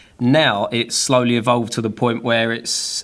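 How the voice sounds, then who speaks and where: Speaking with a British accent, a man uses a medium-pitched voice. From UK. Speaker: filmmaker and YouTuber. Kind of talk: casual chat. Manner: casual, filler-heavy.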